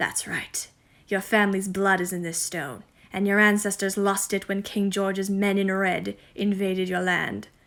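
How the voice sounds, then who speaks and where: A woman puts on a croaky character voice. It sits at a medium pitch and moves at a moderate pace. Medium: read story. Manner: cryptic, solemn.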